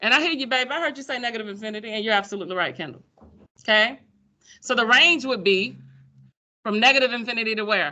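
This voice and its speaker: A woman talks very fast in a Pensacola accent, her fairly high voice bright and sharp, with an animated tone and lively intonation. Long pauses come often. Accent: Pensacola Florida speech. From US South, Pensacola, Florida. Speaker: high school math teacher. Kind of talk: classroom lecture. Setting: classroom with students. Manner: animated, conversational.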